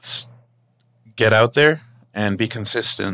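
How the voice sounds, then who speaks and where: A man's fairly low voice has a bright, sharp tone and moves at a fairly slow pace. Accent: American. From Los Angeles. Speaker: podcast host. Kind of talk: casual chat. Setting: remote call.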